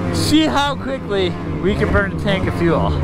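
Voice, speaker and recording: A man is heard in a dry recording with no echo, over loud background noise. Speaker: snowmobile rider vlogger. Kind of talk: casual vlog chat. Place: open country. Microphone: helmet.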